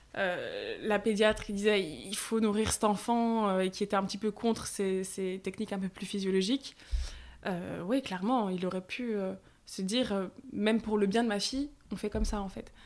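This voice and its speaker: Woman's medium-pitched voice, an unremarkable speaking voice, with fairly even intonation at a moderate pace. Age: 20s. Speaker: content creator and mother sharing breastfeeding story. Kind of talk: testimony. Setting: face-to-face at the host's home.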